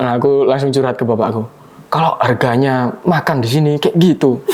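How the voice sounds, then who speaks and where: Amid noticeable background noise, a man with a Javanese accent talks at a moderate pace in a fairly high pitch with ordinary pitch variation. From Java, Indonesia. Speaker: university student. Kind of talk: casual chat. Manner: animated.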